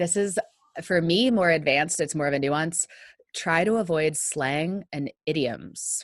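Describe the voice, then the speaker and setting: At a fairly slow pace, a woman talks in a fairly low pitch with ordinary pitch variation and an American accent. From US, northern Virginia. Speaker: data visualization trainer and consultant. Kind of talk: casual interview. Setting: long-distance remote call.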